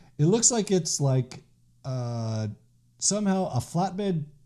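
A man speaks at a very slow pace with very wide pitch swings and a somewhat breathy, dark, mellow tone. The background is quiet. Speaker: podcast host. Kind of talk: casual podcast talk. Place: office. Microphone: studio mic.

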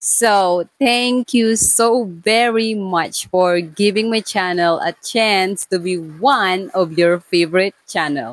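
With a dry sound with no echo and a quiet background, a woman speaks at a very slow pace with ordinary pitch variation. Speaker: lifestyle vlogger. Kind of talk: casual vlog chat. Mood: warm, cheerful. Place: kitchen. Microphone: lapel.

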